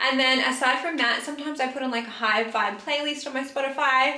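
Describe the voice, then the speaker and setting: A woman raises and projects her voice at a high pitch, with fairly even intonation. Audible room echo surrounds it. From Australia. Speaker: beauty youtuber; beauty vlogger. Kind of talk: casual chat. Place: bathroom. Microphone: camera far.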